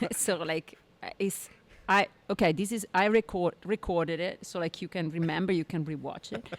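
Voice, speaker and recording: A woman with an Italian accent speaks at a fairly low pitch with fairly even intonation. The sound is dry and close, without echo. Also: moderate pace. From Italy. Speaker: painter. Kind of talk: casual chat.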